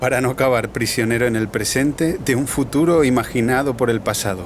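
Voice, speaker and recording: A man's medium-pitched voice, with ordinary pitch movement, comes through noticeable background noise. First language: Catalan (speaking Spanish). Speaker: cycle traveller and documentary maker. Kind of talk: documentary narration.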